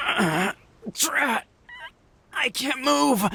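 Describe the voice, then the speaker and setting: This raspy, put-on character voice sits at a fairly high pitch and swings very widely in pitch. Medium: video game. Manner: formal, deferential.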